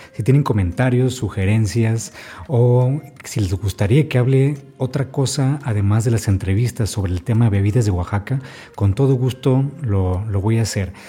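Medium pitch and a moderate pace from a man, a normal speaking voice with ordinary pitch variation. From Baja California, northern Mexico. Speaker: podcast host and food book author. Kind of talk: podcast narration and interviewing.

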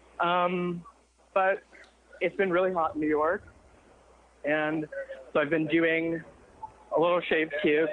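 Over noticeable background noise, a woman talks at a fairly slow pace with a fairly low pitch, monotone, flat intonation, very even loudness and long, frequent pauses. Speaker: caller. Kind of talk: casual chat. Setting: phone call.

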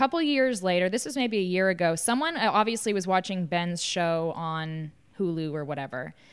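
A woman with an American accent and an unremarkable speaking voice talks at a fairly quick pace and medium pitch. Her intonation is lively, on a very clean recording with a silent background. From US South. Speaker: podcast host, former reality TV contestant. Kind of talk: casual interview.

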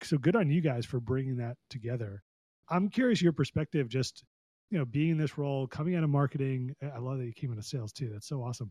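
Somewhat breathy and dark, mellow in tone, a man speaks at a very fast pace with a medium pitch and ordinary pitch variation, in a dry, close sound with no echo. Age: 40s. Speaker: podcast host. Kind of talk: interview conversation. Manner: enthusiastic.

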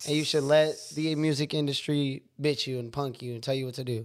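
Moderate pace from a man with a Californian accent, fairly high-pitched and fairly even in intonation, on a very clean recording with a silent background. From San Francisco Bay Area, California. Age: 20s. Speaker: rapper and chef. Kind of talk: casual chat.

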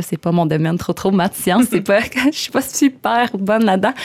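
With vocal fry and lively intonation, a woman speaks at a moderate pace. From Quebec, Coaticook (Eastern Townships). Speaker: law graduate, church member. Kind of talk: casual interview. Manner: hesitant, many fillers.

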